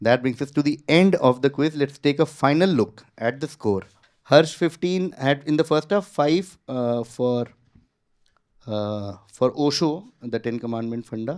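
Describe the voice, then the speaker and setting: In a very clean recording with a silent background, a man with an Indian accent talks at a fairly slow pace and a fairly high pitch, with ordinary pitch variation. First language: Hindi. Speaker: quizmaster. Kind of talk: quiz show hosting. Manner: casual, code-switching Hindi and English.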